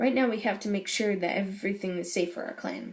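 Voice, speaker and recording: A woman does a put-on character voice that is raspy and medium in pitch. She talks at a very fast pace. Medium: read story.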